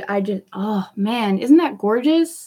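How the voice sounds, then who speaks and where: A woman's animated, quiet voice with lively intonation. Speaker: beauty vlogger. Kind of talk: live makeup tutorial chat. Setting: livestream. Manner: quiet while concentrating.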